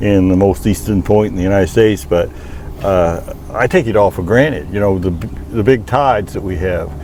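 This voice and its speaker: A man's fairly low voice in a Maine accent, fairly quick, with ordinary pitch variation and noticeable background noise. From Maine, US. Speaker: hunting guide and outdoorsman. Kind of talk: casual chat.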